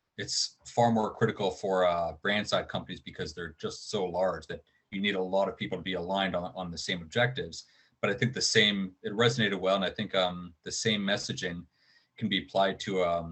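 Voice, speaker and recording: Very deep and low, a man's voice moves at a fairly quick pace with ordinary pitch variation. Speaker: conference speaker. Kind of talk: presentation. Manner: fast; hesitant, many fillers.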